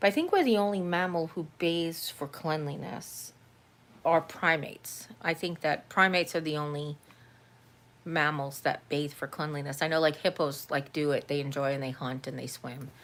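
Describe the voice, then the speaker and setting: Someone with an American accent speaks at a moderate pace with ordinary pitch variation, in a very clean recording with a silent background. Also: woman, very deep, low pitch for a woman. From New York. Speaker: vlogger. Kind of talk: casual live-stream chat. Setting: live stream at home.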